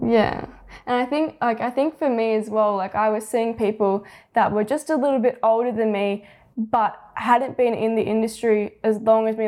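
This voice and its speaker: In an Australian accent, a woman speaks at a moderate pace with a fairly high pitch. Her tone is dark and mellow. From Australia, Penrith (western Sydney). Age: 18. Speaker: young photographer and videographer. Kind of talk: casual interview chat. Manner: laughs often.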